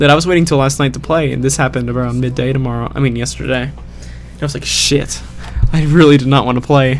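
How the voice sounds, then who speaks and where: Music plays in the background while a man speaks. The room has audible echo. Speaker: gaming commentator. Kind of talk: post-game voiceover commentary. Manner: monotone; hesitant, many fillers.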